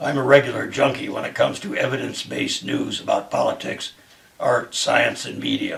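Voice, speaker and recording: A man uses a put-on character voice with a raspy edge. He speaks at a fairly quick pace. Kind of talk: dramatic reading of a monologue. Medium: solo performance. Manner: earnest, measured, occasionally halting.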